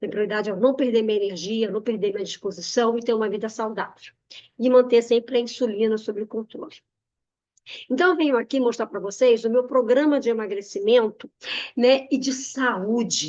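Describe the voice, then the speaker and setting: At a moderate pace, a woman talks in an ordinary speaking voice with a fairly high pitch. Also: ordinary pitch variation. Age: 60s. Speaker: nutritionist. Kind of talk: webinar presentation with sales pitch.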